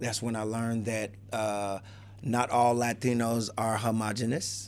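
Speaking with an American accent, a man keeps a medium pitch and monotone, flat intonation. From Chicago. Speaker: hip hop artist and youth mentor. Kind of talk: casual interview. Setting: studio.

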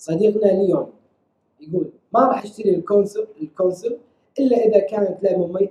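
A man speaks at a high pitch with a dark, mellow tone. His intonation stays fairly even at a moderate pace. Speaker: podcast co-host. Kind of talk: casual chat.

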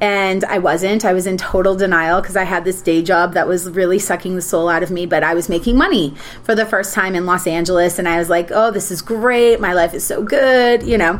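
A woman with an American accent speaks at medium pitch with ordinary pitch variation, at a fairly quick pace with hardly any pauses, over noticeable background noise. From Minnesota. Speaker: actress and TV producer. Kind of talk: casual chat.

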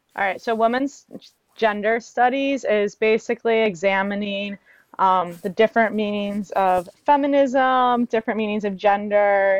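A woman with an American accent speaks at a moderate pace in a fairly high pitch, her intonation fairly even and the sound dry and close with no echo. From Cleveland area, Ohio. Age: 20s. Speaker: college student. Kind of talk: casual chat. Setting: remote from school. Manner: hesitant, many fillers.

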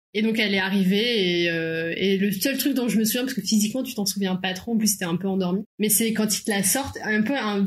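A woman's fairly high voice moves at a fairly quick pace with ordinary pitch variation, noticeable background noise running beneath. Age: 30s. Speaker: young mother. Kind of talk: casual chat.

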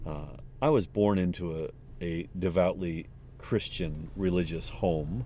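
This man speaks in a dark, mellow tone. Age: 50s. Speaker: podcaster. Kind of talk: unscripted solo monologue. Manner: unhurried, stream-of-consciousness with many fillers.

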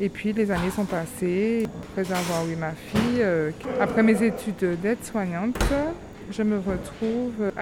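Noticeable background noise and audible room echo surround a woman's medium-pitched voice. She speaks at a fairly slow pace with fairly even intonation. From outside France. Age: 30s. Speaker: former nursing assistant retraining as pastry cook. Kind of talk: interview testimony.

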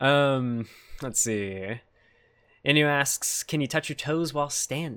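A man with an American accent at a fairly high pitch, bright and sharp in tone, at a very slow pace with long, frequent pauses and ordinary pitch variation, on a very clean recording with a silent background. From United States. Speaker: podcast host. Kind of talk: casual interview. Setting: live stream.

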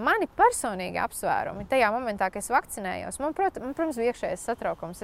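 A woman with a high pitch is heard in a dry, close sound with no echo. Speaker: doctor and health communicator on social media. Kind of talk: interview.

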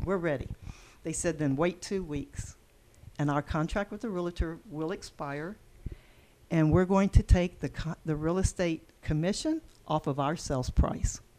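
In a Texan accent, a woman speaks at a fairly slow pace with a fairly low pitch and a dark, mellow tone. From Texas. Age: 60s. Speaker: bed and breakfast and event venue owner. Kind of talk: casual interview conversation.

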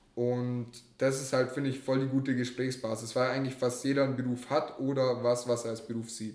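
Audible room echo surrounds a man speaking at a fairly quick pace in a monotone, flat intonation. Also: medium pitch for a man. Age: 20s. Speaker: hitchhiker. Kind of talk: casual interview.

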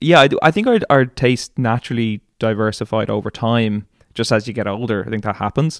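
In an Irish accent, a man with a medium pitch and ordinary pitch variation talks at a moderate pace, his dry, close sound carrying no echo on a very clean recording with a silent background. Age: 30s. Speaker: singer-songwriter. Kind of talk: casual interview.

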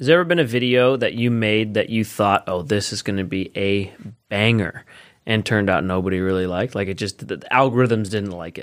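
With a normal speaking voice, a man talks at a fairly quick pace and a fairly low pitch, his pitch varying in an ordinary way and his loudness swinging widely, on a very clean recording with a silent background. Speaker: podcast host. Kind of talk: casual chat.

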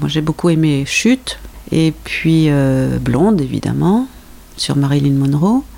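A woman speaks at a very slow pace with very even loudness. Noticeable background noise can be heard. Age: 60s. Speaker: host's mother, reader. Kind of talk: casual chat.

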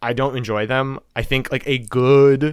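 An unremarkable speaking voice with an American accent comes through at a moderate pace. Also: man. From Texas and Wisconsin. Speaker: podcast guest. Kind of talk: casual chat. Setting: remote recording.

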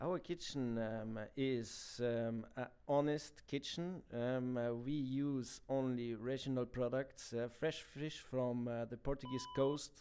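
A man with a Bavarian accent talks very slowly with hardly any pauses, his dark, mellow tone set at a medium pitch. The intonation stays fairly even. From Germany, Bavaria (Garmisch-Partenkirchen). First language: German. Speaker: chef. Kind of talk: interview. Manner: halting, many fillers.

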